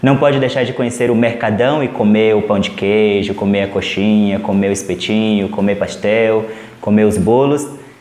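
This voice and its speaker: Over noticeable background noise, a man speaks at a fairly slow pace with a fairly low pitch and fairly even intonation. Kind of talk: interview answer.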